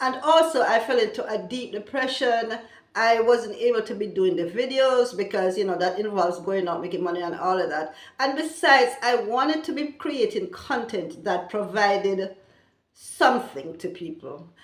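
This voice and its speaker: There is audible room echo as a woman with a fairly high pitch makes very wide pitch swings. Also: moderate pace. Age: 60s. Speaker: vlogger. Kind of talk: casual vlog talk.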